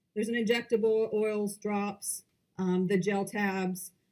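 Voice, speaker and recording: A woman is speaking. Her pitch is fairly high. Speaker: company presenter at investor conference. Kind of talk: investor presentation. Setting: conference presentation with audience. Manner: fast.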